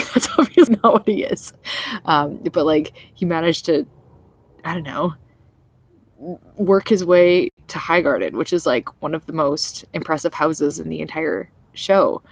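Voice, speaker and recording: A woman speaks quietly at a moderate pace, leaving long, frequent pauses. Her loudness swings widely in a dry, close sound with no echo. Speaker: vlogger. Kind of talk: casual vlog review. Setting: outdoors in backyard at night. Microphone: laptop.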